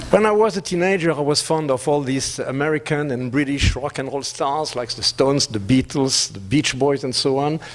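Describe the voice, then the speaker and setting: Speaking at a fairly quick pace with a French accent, a man has a fairly high pitch, with noticeable background noise behind him. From France. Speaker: business executive. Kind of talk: conference presentation.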